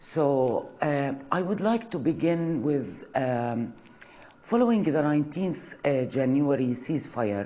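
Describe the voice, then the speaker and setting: A woman speaks very slowly in a very deep, low voice with a dark, mellow tone and lively intonation. Her loudness stays very even, and room echo is audible. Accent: Arabic. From Palestine, village near Nablus. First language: Arabic. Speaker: university lecturer. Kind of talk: lecture. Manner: halting, many fillers.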